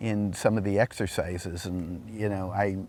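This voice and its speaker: Flat, monotone intonation marks this man's fairly low voice with an American accent. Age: 60s. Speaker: retired law professor. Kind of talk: casual interview. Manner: halting.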